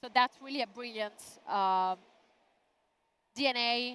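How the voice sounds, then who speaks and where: A woman speaks at a moderate pace with an Italian accent. Her pitch is high. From Italy. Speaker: event host. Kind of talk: live event streaming presentation. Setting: exhibition booth. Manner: animated.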